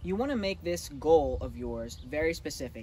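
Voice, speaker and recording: At a fairly quick pace, a man speaks in a dry sound with no echo and light background noise. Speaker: fitness coach. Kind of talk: tutorial tips to camera. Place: open country.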